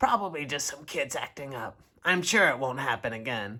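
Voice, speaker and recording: A man's raspy, put-on character voice, fairly high in pitch, with lively intonation at a moderate pace. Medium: read story. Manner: stern, commanding.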